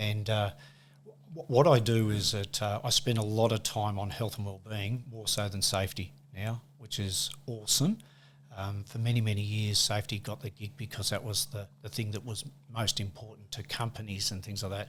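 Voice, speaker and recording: On a very clean recording with a silent background, a man with an Australian accent talks at a moderate pace. His voice is fairly low and somewhat breathy, with ordinary pitch variation. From Australia, west coast of Tasmania. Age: 60s. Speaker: workplace safety manager and football umpire. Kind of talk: casual interview chat. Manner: halting, many fillers.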